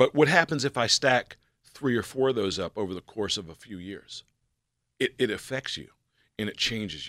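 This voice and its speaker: A man with an American accent speaks at a moderate pace in a bright, sharp tone, with medium pitch, lively intonation and big swings in loudness. The recording is very clean, with a silent background and a dry, close sound with no echo. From Pittsburgh, Pennsylvania. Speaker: former Secret Service agent. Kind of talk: radio interview. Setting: radio studio.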